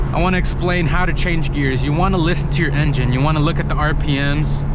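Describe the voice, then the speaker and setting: Over noticeable background noise and audible room echo, a man with a fairly high pitch speaks at a very fast pace, his loudness very even and his intonation fairly even. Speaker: car enthusiast video creator. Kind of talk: driving tutorial. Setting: in a convertible car with the top down. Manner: loud, yelling over open-top car noise.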